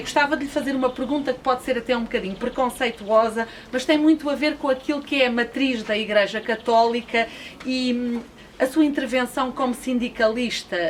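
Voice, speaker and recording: Noticeable background noise surrounds a woman speaking at a moderate pace. Her high voice keeps a fairly even intonation. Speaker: radio show host. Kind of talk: radio interview presentation.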